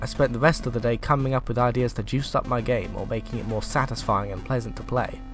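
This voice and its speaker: Very fast male speech with hardly any pauses and fairly even intonation, music playing in the background. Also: medium pitch for a man. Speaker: indie game developer. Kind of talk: video game devlog narration.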